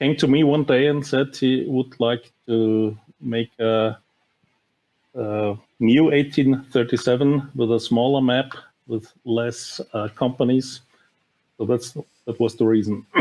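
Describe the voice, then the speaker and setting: A man with a German accent speaks very slowly in a medium pitch, with a dark, mellow tone and fairly even intonation. Long, frequent pauses break up his speech, and the recording is very clean with a silent background. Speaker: board game designer. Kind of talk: podcast interview. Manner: halting.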